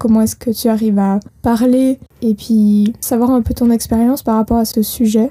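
This woman speaks at a moderate pace in a fairly high, somewhat breathy voice with a dark, mellow tone, monotone, flat intonation and very even loudness. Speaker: apprentice hosting a company podcast. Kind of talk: casual chat.

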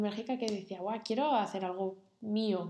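Speaking at a fairly slow pace, a woman uses a medium pitch with ordinary pitch variation and a dark, mellow tone. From Spain, Cantabria (Santander). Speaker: designer. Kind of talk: interview. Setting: in the host's home.

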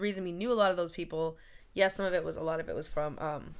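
A woman with a fairly low pitch speaks at a very fast pace. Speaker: actress and writer. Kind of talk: casual chat. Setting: in person in Maine.

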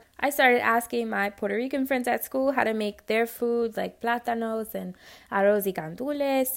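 A woman with a New York accent talks at a fairly quick pace in a fairly high voice. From New York City (Spanish Harlem). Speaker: podcast host, home cook. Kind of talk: personal storytelling monologue. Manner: casual, conversational.

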